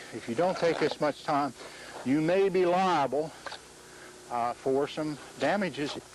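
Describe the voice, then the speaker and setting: Against noticeable background noise, a man with a fairly high pitch talks at a fairly slow pace, taking long, frequent pauses. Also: ordinary pitch variation. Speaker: mason demonstrating techniques. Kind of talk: instructional demonstration. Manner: slow, deliberate.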